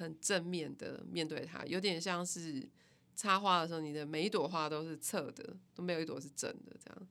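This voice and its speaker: A woman speaks at a moderate pace with ordinary pitch variation and a fairly low pitch. It is a normal speaking voice. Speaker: music company founder and band musician. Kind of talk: casual interview.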